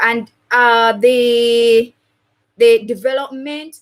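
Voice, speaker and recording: A woman is speaking. She is loud. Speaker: teacher. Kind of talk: tutorial.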